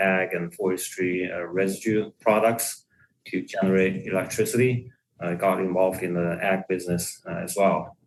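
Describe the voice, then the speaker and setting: Speaking in a Chinese accent, a man with a very deep, low voice keeps a monotone, flat intonation. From China. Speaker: equipment product manager. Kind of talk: podcast interview. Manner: hesitant, many fillers.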